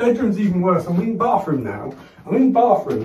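Male speech under light background noise, with echo from the room audible. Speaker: comic actor in a sketch. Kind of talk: comedic one-sided phone call performance. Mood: exasperated, agitated, swearing. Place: bathroom.

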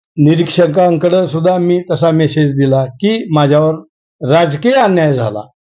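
With an unremarkable speaking voice, a man speaks at a fairly high pitch, his pitch varying in an ordinary way. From Maharashtra, Latur district (Renapur). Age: 50s. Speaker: local politician. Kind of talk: interview.

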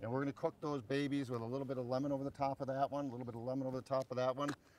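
A man talks at a very fast pace with fairly even intonation, the sound dry with no echo and light background noise behind him. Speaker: cooking show host. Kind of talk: cooking demonstration tutorial. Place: waterside.

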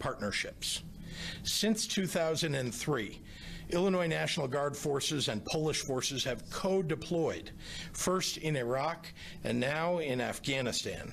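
At a fairly slow pace, a man talks with ordinary pitch variation. Light background noise is present. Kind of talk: formal prepared statement. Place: hall. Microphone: podium.

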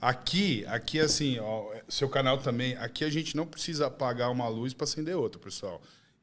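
At a medium pitch, a man speaks at a fairly quick pace with ordinary pitch variation. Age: 40s. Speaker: gym owner; podcast guest. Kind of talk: podcast chat. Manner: animated. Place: studio. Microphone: studio mic.

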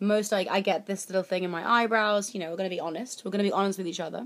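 Fairly even intonation marks the woman's speech. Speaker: beauty vlogger. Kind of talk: casual vlog chat. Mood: jokey, candid. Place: home room. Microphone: webcam.

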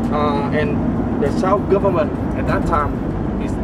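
The speech comes at a fairly slow pace. Loud background noise sits behind it. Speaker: tour guide. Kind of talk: tour guide commentary. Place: bus. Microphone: camera far.

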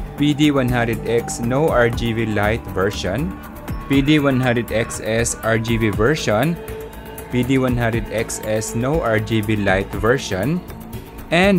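Over clear music in the background, a man speaks at a fairly slow pace with ordinary pitch variation. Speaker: tech product reviewer. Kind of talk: product review talk. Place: home room. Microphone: studio mic.

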